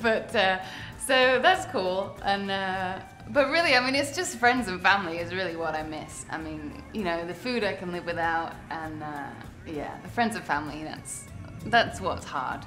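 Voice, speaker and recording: A woman with a British accent and a medium pitch speaks at a moderate pace, with lively intonation and big swings in loudness. Music plays in the background, and the room echo is audible. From London, England. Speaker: singer-songwriter. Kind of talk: interview.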